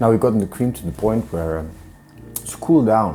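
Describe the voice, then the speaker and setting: A man speaks with lively intonation over noticeable background noise. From Iceland. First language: Icelandic. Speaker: chef. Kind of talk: cooking tutorial. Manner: hesitant, many fillers.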